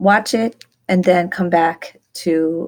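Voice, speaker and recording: In an ordinary speaking voice, a woman talks at fairly low pitch with ordinary pitch variation. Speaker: teacher. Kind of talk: recorded lecture screencast. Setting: screencast recording. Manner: instructional, measured.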